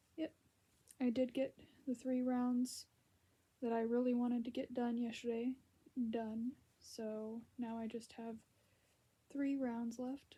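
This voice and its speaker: Speaking fairly slowly with long, frequent pauses, a woman uses a high pitch, a dark, mellow tone, and a monotone, flat intonation. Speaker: crochet vlogger. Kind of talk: casual vlog. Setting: lying in bed at home.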